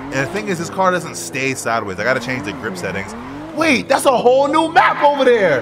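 Amid noticeable background noise and audible room echo, a man talks in an animated tone at a fairly quick pace. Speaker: gaming YouTuber. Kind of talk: casual gaming chat with friends.

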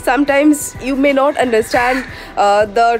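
With noticeable background noise, a woman talks at a moderate pace in a high pitch. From India. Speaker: travel writer and vlogger. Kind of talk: casual talk to camera. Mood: calm, earnest advice. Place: garden. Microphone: phone near.

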